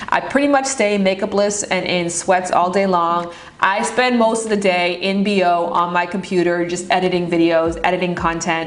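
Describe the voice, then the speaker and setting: A woman at a medium pitch talks at a moderate pace with hardly any pauses, ordinary pitch variation and very even loudness, amid audible room echo and noticeable background noise. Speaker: YouTuber. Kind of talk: casual vlog narration. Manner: drops word endings.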